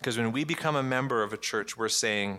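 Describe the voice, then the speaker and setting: Over a silent background in a very clean recording, a man with a Canadian accent speaks at a fairly quick pace in a bright, sharp tone. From Canada, Ottawa. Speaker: pastor. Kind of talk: sermon.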